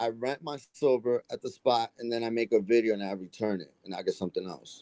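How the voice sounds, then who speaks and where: Recorded with a dry, close sound and no echo, a man talks at a fairly quick pace and medium pitch, with ordinary pitch variation and big swings in loudness. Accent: New York. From New York. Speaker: coin collecting youtuber. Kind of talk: casual chat.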